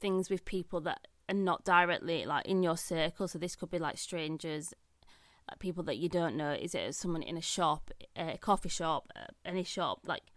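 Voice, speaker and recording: A woman speaks at a fairly low pitch with ordinary pitch variation, recorded very cleanly against a silent background. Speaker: podcast host. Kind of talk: solo podcast monologue. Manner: fast; casual, filler-heavy.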